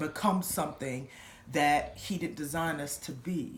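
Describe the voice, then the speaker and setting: A somewhat breathy voice at a fairly slow pace. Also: woman. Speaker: church member giving testimony. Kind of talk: testimony.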